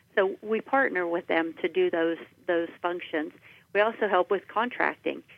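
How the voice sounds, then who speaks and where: A woman with an American accent speaks in a plain, everyday voice at a moderate pace and medium pitch, with ordinary pitch variation and very even loudness. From Washington County, western Pennsylvania. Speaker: government agency director. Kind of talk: radio interview.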